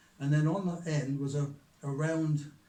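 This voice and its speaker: The speaker talks in a southern English accent. Audible room echo fills the recording. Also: man. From Kent, southern England. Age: 90s. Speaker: author. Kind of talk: interview, life story. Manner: halting, with fillers.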